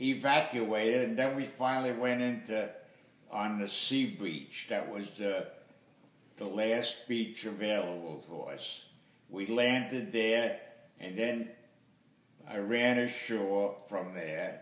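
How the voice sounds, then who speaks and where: Over noticeable background noise, a man speaks very slowly at a medium pitch with ordinary pitch variation and long, frequent pauses. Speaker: war veteran. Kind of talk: interview answer.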